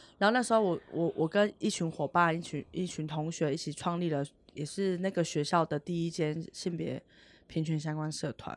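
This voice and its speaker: A woman's unremarkable speaking voice, fairly low in pitch, at a moderate pace with ordinary pitch variation, on a very clean recording with a silent background. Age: 30s. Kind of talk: podcast interview.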